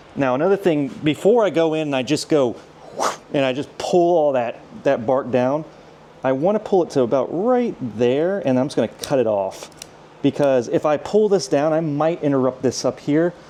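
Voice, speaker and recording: With noticeable noise around him, a man speaks in a fairly high voice and with lively intonation. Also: moderate pace. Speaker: bonsai nursery manager. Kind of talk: tutorial. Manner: casual, hesitant with fillers.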